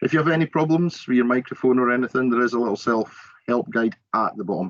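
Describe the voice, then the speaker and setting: A man with a Scottish Borders accent talks at a fairly quick pace and medium pitch. His intonation is lively, and the sound is dry and close with no echo. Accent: Scottish Borders twang. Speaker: college learning support staff. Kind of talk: tutorial.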